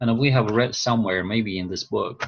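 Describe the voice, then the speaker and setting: A man speaks at a medium pitch with a non-native accent. His pitch rises and falls in an ordinary way. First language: not English. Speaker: course instructor. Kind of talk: online class lecture. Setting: video call. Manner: halting, repeats words.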